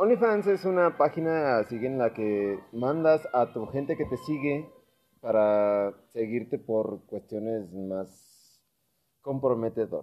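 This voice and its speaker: With music in the background, a man of medium pitch speaks at a very slow pace using lively intonation. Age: 30s. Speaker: podcast host. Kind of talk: casual chat.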